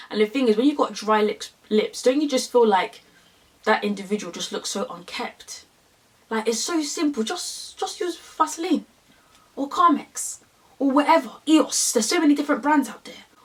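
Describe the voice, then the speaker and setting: A woman with a London accent talks at a moderate pace in a high pitch, with an animated tone over noticeable background noise. Her pitch swings very widely and her loudness swings a lot. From London, England. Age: 20s. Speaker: beauty YouTuber. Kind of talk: makeup tutorial.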